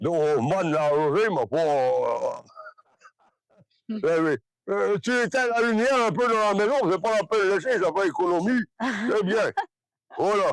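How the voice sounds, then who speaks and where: Pausing long and often, a man speaks at a fairly slow pace with very wide pitch swings. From Brittany, France. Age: 80s+. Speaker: retired farmer. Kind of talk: interview answer. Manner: hesitant, rambling.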